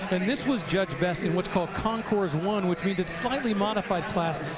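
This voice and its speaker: A man with a high pitch talks at a very fast pace with ordinary pitch variation. Noticeable background noise is present. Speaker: car auction commentator. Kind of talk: live commentary. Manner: knowledgeable, conversational with fillers.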